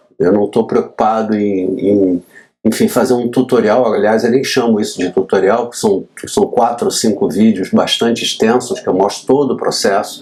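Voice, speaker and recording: The man's dark, mellow tone moves at a moderate speed, his pitch shifting in an ordinary way. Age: 60s. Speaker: graphic designer. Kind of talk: tutorial. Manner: casual, slightly halting.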